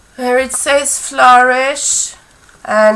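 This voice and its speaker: A woman talks at a very slow pace with ordinary pitch variation while noticeable background noise carries on behind her. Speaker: crafter, scrapbooker. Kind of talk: casual craft tutorial talk to camera.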